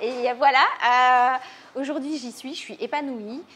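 A woman speaks with a high pitch. Light background noise is present. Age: 30s. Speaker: restaurant owner. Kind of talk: interview. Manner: hesitant, many fillers. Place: cafe.

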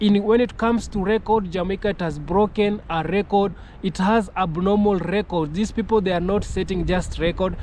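A man speaks in a high voice at a moderate pace with fairly even intonation. The sound is dry with no echo, and light background noise is present. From Kenya. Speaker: YouTuber. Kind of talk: video commentary. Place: open country. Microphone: phone near.

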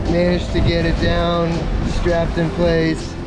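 Clear music plays in the background. A man speaks at a fairly slow pace. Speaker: sailor vlogger. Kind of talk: casual vlog chat. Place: boat. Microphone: phone near.

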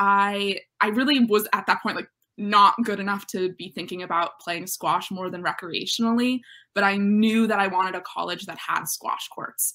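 Against a quiet background, a woman talks at a moderate pace in a bright, sharp tone with ordinary pitch variation. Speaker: interviewee. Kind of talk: interview answer. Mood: warm, smiling. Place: home room.

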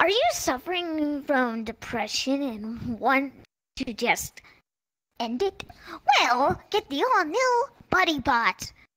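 A put-on character voice sits high in pitch. It moves at a fairly slow pace. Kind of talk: parody TV commercial. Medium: game stream.

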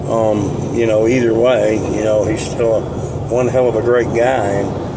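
Loud background noise fills the clip. Over it, a man talks at a moderate pace. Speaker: vlogger. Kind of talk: casual vlog chat. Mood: relaxed, friendly, laughing. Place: car. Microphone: phone near.

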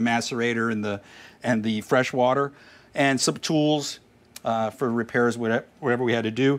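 With fairly even intonation, the man keeps to a moderate pace. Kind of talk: casual vlog chat. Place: street.

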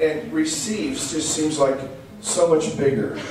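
A man's voice with lively intonation at a moderate pace, with audible room echo and music in the background. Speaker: preacher. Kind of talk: sermon. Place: church.

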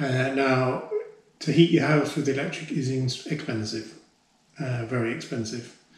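A man talks with fairly even intonation, and audible room echo trails his words. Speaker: homeowner DIY vlogger. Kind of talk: casual vlog chat. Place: home room. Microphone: camera far.

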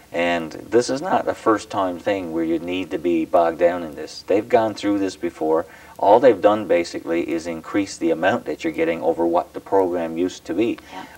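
A man with a Newfoundland accent speaks in a very deep, low pitch at a moderate pace. His pitch varies in an ordinary way, and the sound is dry with no echo. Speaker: provincial politician. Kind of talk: formal presentation speech; interview. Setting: studio. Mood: mildly critical, explanatory. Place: home room.

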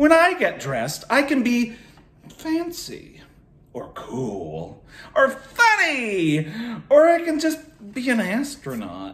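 Using a put-on character voice at an extremely high pitch, a man talks at a fairly slow pace with long, frequent pauses. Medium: read story.

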